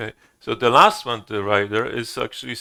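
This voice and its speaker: Recorded very cleanly against a silent background, the voice has a bright, sharp tone and moves at a fairly slow pace. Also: man. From Poland. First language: Polish (speaking Korean). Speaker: Zen teacher. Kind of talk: dharma talk. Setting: temple hall with audience. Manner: halting.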